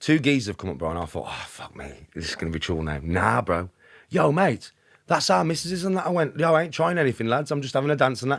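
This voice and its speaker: A man with a Birmingham accent at a very fast pace and medium pitch, with vocal fry, very wide pitch swings and big swings in loudness, in a very clean recording with a silent background. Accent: Birmingham (Brummie) English. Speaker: podcast guest. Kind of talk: casual chat. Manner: animated.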